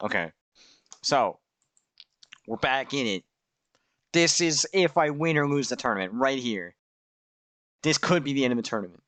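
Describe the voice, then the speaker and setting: Animated in tone, a man speaks at a moderate pace with very wide pitch swings and long, frequent pauses. The sound is dry and close with no echo, over a quiet background. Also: medium pitch for a man. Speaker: game streamer reviewing own tournament footage. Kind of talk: casual commentary over gameplay footage.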